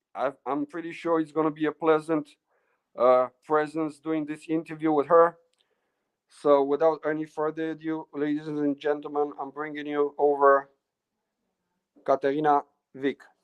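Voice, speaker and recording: Pausing often and at length, a man with a fairly high pitch talks at a moderate pace in a monotone, flat intonation. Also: dry, close sound with no echo. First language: Romanian. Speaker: interviewer. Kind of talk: interview. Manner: halting.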